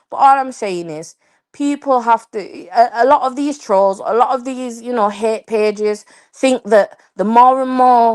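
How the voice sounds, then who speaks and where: With an English accent, a woman speaks at a fairly slow pace, her pitch fairly high and her pitch variation ordinary. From England. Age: young. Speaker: panelist on live stream. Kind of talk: heated panel discussion. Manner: halting.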